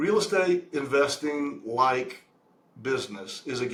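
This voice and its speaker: Lively intonation amid noticeable background noise. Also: man. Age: 60s. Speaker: real estate investment sponsor. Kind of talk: interview. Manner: halting.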